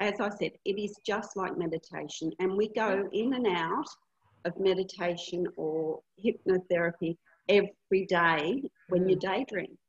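A woman talks with an Australian accent. Her pitch sits in the medium range. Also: ordinary pitch variation, moderate pace. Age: 60s. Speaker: hypnotherapist and retreat facilitator. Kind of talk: casual interview.

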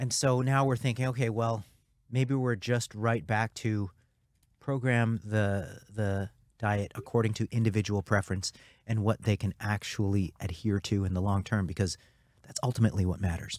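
An ordinary speaking voice comes at a moderate pace with fairly even intonation. The recording is very clean with a silent background, its sound dry and close with no echo. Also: man, fairly low pitch for a man. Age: 50s. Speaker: nutrition researcher. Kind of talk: casual chat. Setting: studio.

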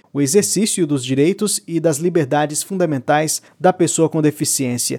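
Dry, close sound with no echo carries a man speaking at a moderate pace in a dark, mellow tone. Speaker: podcast host. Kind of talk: scripted narration. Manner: formal.

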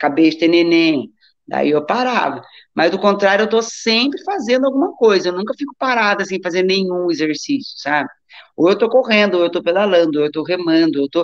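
Using a normal speaking voice, a woman of medium pitch talks at a fairly quick pace with lively intonation. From Brazil, Taubaté (São Paulo state). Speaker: doctor and amateur athlete. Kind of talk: casual interview chat.

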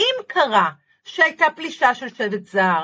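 A woman's raised, projected voice, bright and sharp in tone, with very wide pitch swings at a fairly slow pace. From Israel, Haifa. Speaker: positive thinking lecturer and author. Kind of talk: casual interview.

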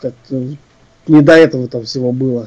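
A man speaks with a dark, mellow tone at a fairly high pitch. His intonation stays fairly even. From Russia, Ufa, Bashkortostan. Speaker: composer and musician. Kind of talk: interview.

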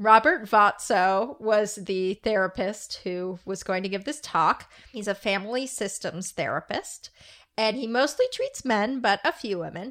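A woman speaks at a fairly slow pace in a fairly high pitch, with a plain, everyday voice and ordinary pitch variation. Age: 30s. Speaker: podcast co-host. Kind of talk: casual chat.

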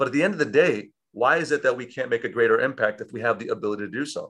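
Talking at a very fast pace, a man has an American accent and a medium pitch. His intonation is lively. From Chicago, South Side. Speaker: tech company founder. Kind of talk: interview.

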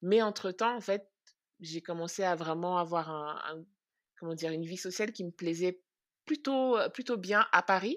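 A woman at medium pitch and a fairly slow pace, with ordinary pitch variation, big swings in loudness and long, frequent pauses on a very clean recording with a silent background. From France. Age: 30s. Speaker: podcast co-host. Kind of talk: interview testimony.

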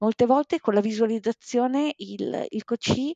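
A woman's fairly slow, fairly high-pitched speech with a dark, mellow tone, ordinary pitch variation, and a dry, close sound with no echo. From Bologna, northern Italy. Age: 40s. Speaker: life and sports coach. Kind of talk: podcast interview.

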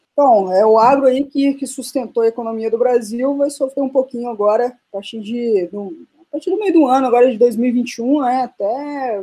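A woman's fairly high, plain, everyday voice at a moderate pace, with a dry, close sound and no echo. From Brazil, Minas Gerais (Serra da Canastra). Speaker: podcast co-host, coffee export businesswoman. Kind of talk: casual chat.

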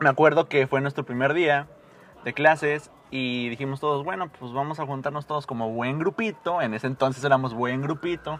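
Using a plain, everyday voice, a man speaks at a fairly high pitch and a moderate pace with ordinary pitch variation. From Mexico, Morelia, Michoacán. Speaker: podcast guest. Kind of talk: casual chat.

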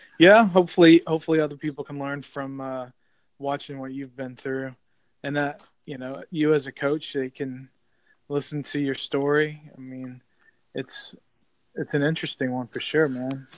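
A plain, everyday voice from a man, fairly high-pitched, with fairly even intonation, a moderate pace and big swings in loudness. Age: 40s. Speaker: amateur podcaster. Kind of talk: casual chat.

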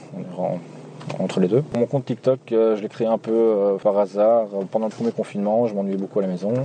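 Over noticeable background noise, a man with a Belgian accent speaks at a moderate pace in a fairly low pitch with fairly even intonation. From Belgium, Nivelles (Walloon Brabant). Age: 20s. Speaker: taxi driver. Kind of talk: storytelling interview.

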